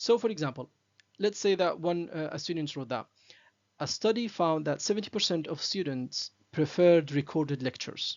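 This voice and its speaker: A man with a non-native accent speaks at a moderate pace in a high voice with lively intonation. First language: not English. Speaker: academic writing teacher. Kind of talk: tutorial. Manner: halting, many fillers.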